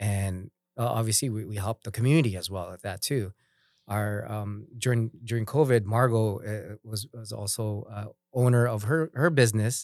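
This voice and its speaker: Against a very clean recording and silent background, a man with a plain, everyday voice and fairly low pitch speaks at a moderate pace, with ordinary pitch variation and big swings in loudness. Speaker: business owner. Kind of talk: casual chat.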